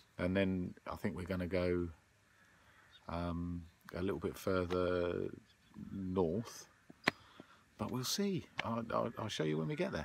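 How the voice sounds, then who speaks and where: Over light background noise, a man with a very deep, low pitch and ordinary pitch variation speaks at a fairly slow pace with long, frequent pauses, in a dry sound with no echo. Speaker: road-trip vlogger. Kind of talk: casual vlog chat. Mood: relaxed, cheerful. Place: car. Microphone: phone near.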